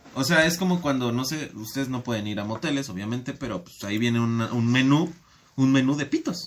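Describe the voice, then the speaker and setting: In an ordinary speaking voice, a man talks at a fairly quick pace at a medium pitch, his loudness swinging widely. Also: ordinary pitch variation. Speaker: podcast guest. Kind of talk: casual chat.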